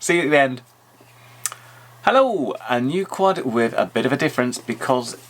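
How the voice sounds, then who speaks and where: A man speaks with a British accent at a moderate pace. His pitch varies in an ordinary way. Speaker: YouTube drone reviewer. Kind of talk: tutorial. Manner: mumbling. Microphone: audio sometimes very bad.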